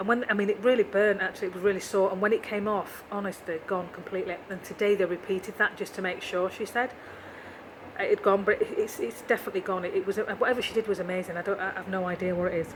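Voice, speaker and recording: Over noticeable background noise, a woman speaks very fast in a monotone, flat intonation. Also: medium pitch for a woman. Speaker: vlogger. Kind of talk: video diary.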